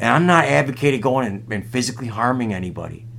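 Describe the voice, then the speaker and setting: With ordinary pitch variation and a moderate pace, a man talks in a plain, everyday voice. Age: 40s. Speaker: comedy podcast host. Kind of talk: comedic casual chat.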